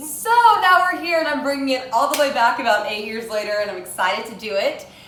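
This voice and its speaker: With an American accent, a woman speaks at a fairly quick pace, her pitch swinging very widely, over audible room echo and noticeable background noise. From US South, Tennessee. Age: 20s. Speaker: cooking vlogger. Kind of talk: casual cooking tutorial.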